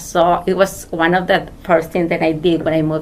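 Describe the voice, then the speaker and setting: The speaker is a woman with a fairly low pitch. She talks in a Spanish accent. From Mexico. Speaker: immigrant interviewee. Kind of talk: interview. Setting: studio.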